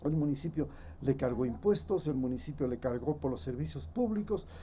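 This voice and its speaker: A man's animated voice with lively intonation at a moderate pace. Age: 60s. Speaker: political commentator. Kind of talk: opinion monologue. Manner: halting.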